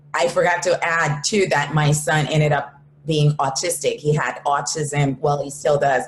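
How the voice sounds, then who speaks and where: Amid noticeable background noise, a woman with a very deep, low pitch speaks fairly slowly at a very even loudness. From Haiti. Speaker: entrepreneur. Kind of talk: interview.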